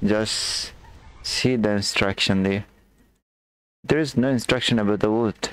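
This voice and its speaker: A man with an Indian accent speaks at a fairly slow pace with long, frequent pauses, a fairly low pitch, and fairly even intonation. His loudness is very even, and the sound is dry with no echo. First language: Hindi. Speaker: gaming streamer. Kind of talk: live game commentary. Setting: live stream. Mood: tense, puzzled. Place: home room.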